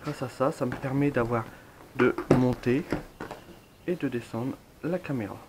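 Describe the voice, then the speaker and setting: With a Picard accent, a man talks with ordinary pitch variation and long, frequent pauses while music plays behind him. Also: medium pitch for a man, fairly slow pace. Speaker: drone hobbyist. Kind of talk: product review talk to camera. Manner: casual, many fillers.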